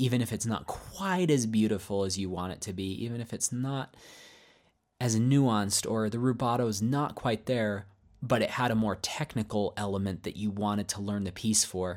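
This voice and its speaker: Captured on a very clean recording with a silent background, a man with an ordinary speaking voice talks at a moderate pace in a medium pitch, with ordinary pitch variation. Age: 30s. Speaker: pianist and piano teacher. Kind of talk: podcast monologue.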